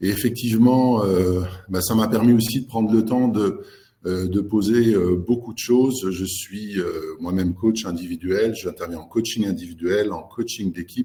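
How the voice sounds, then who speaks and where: A man with a dark, mellow tone talks at a fairly low pitch and fairly slow pace, his intonation fairly even. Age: 60s. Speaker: executive coach. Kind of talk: webinar presentation. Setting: online webinar. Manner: halting, many fillers.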